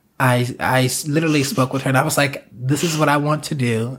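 Somewhat breathy, a man speaks at a medium pitch. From US South, South Carolina. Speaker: choreographer and performer. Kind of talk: casual interview. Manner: animated.

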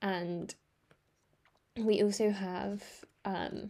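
A woman talks at a medium pitch in a dark, mellow tone. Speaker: book podcast host. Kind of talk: casual monologue book review. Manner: hesitant, many fillers.

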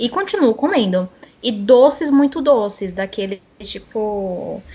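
Here a woman speaks at a fairly high pitch. Her pitch varies in an ordinary way. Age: 20s. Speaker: communications professional and writer. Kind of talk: casual chat.

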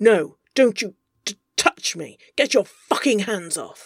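A put-on character voice comes through, pitched fairly high. It moves along at a fairly slow pace. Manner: curt, defensive, flustered.

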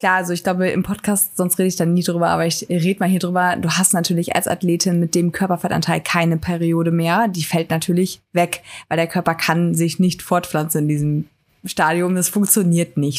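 This woman's fairly low voice stays monotone, with flat intonation throughout. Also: fairly quick pace. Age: 20s. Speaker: fitness coach and amateur bodybuilder. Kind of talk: casual chat.

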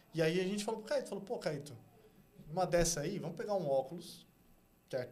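A man with a dark, mellow tone talks at a fairly quick pace and ordinary pitch variation. His voice has an audible room echo. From São Paulo, Brazil (South Zone). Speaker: art agency co-founder. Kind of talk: casual interview chat.

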